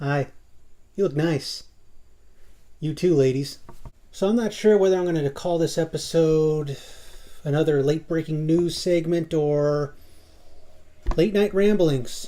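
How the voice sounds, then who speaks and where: Quiet speech at a fairly slow pace, broken by long, frequent pauses. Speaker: YouTuber. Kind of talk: casual monologue vlog. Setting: home at night. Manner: kept quiet.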